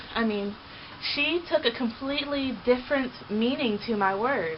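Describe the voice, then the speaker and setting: A woman's high voice with ordinary pitch variation at a fairly slow pace, over noticeable background noise. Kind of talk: personal vlog monologue. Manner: loud at times.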